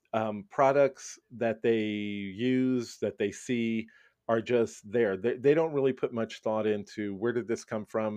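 Against a quiet background, a man with a plain, everyday voice speaks at a fairly slow pace with fairly even intonation. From Brooklyn, New York. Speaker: school principal. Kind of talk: interview.

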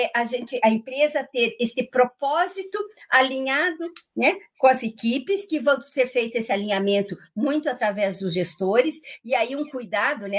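A woman's unremarkable speaking voice. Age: 60s. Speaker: organizational management consultant and coach. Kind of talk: live radio interview. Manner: frequent fillers and tag questions.

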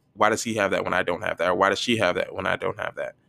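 A man with an American accent in a dry, close sound with no echo. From US Northeast, northern New Jersey. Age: 20s. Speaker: podcaster. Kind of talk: casual solo monologue. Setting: at home.

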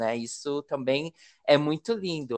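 A plain, everyday voice at a fairly slow pace, lively intonation, dry and close with no echo, over a quiet background. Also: man. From Brazil, Paraná river border with Mato Grosso do Sul. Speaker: podcast host. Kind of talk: interview.

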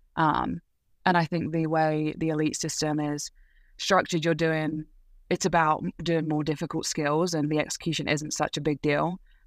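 A woman with a southern English accent speaks at a moderate pace in a very deep, low pitch with monotone, flat intonation. The sound is dry and close with no echo, in a very clean recording with a silent background. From England, Leighton Buzzard (Bedfordshire). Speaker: college gymnast. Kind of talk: interview.

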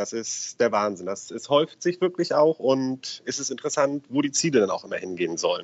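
The speaker has an unremarkable speaking voice. Delivery is fairly quick, with hardly any pauses. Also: man. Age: 30s. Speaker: financial advisor. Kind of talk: interview. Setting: phone call.

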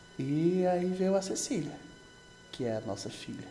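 A man is speaking, with audible room echo. Music plays in the background. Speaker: podcast co-host, husband. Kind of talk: casual chat.

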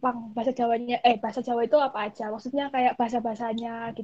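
This woman's pitch is high. She talks at a very fast pace. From Malang, East Java, Indonesia. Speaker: university student podcast co-host. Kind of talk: casual chat. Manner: animated.

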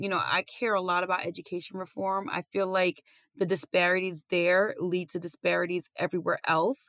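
A woman with an American accent speaks at a fairly quick pace in a plain, everyday voice, with medium pitch, fairly even intonation and a dry, close sound with no echo. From Brooklyn, New York. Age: 30s. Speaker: law student. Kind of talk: interview.

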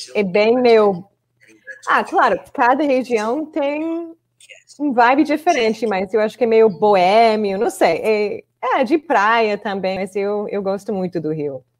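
Speaking very slowly in an American accent, a woman with a fairly high pitch lets her voice swing very widely up and down. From Chicago, US. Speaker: English teacher and video creator. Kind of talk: casual interview. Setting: online live video call.

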